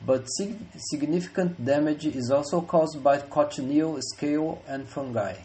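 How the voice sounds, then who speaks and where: With a Brazilian accent, a man speaks at a fairly high pitch and moderate pace, with ordinary pitch variation and audible room echo. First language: Portuguese. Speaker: researcher. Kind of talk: conference presentation. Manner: formal.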